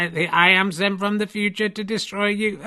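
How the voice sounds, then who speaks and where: Putting on a character voice pitched high, a man talks at a moderate tempo. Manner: menacing, robotic.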